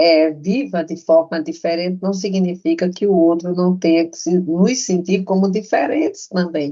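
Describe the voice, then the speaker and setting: A woman of medium pitch and a dark, mellow tone speaks at a fairly slow pace with hardly any pauses, ordinary pitch variation and big swings in loudness. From Brazil, interior of Pernambuco. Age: 70s. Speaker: retired professor and nurse-midwife. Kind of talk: interview conversation.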